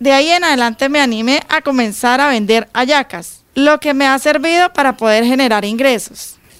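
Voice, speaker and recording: A high-pitched woman's voice at a moderate pace, with ordinary pitch variation. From Venezuela. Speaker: migrant, program participant. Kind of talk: testimony.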